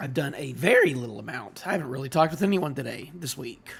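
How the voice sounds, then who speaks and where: With music playing behind him, the man talks at a moderate pace, his intonation lively. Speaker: streamer. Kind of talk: live reaction stream chat. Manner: casual, rambling.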